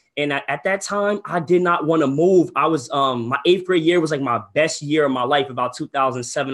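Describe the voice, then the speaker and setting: With an American accent, a man talks in a plain, everyday voice, fairly high in pitch with ordinary pitch variation. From New Jersey, Ocean County. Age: 20s. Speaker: real estate wholesaler and coach. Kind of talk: webinar. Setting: livestream from computer desk. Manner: casual, filler-heavy.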